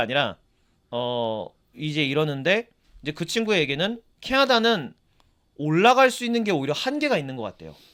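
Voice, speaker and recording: A man's fairly high, bright, sharp voice with very wide pitch swings at a moderate pace, in a very clean recording with a silent background. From South Korea. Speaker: podcast co-host. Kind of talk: casual chat.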